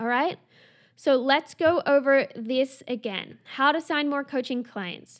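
Using an animated tone, a woman talks at a fairly slow pace in a high pitch with ordinary pitch variation. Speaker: business coach and podcast host. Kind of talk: solo podcast monologue. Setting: home recording with construction noise.

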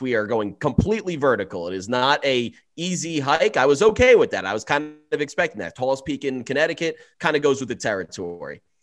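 Over background music, a man talks at a moderate pace. His pitch is fairly high and swings very widely. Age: 20s. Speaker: sports betting podcast co-host. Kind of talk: casual chat.

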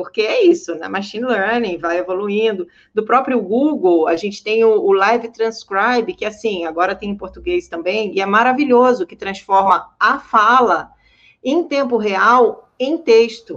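At a fairly slow pace, a woman speaks in an animated tone with lively intonation and big swings in loudness. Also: fairly high pitch for a woman. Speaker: journalist and accessibility advocate. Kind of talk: panel discussion.

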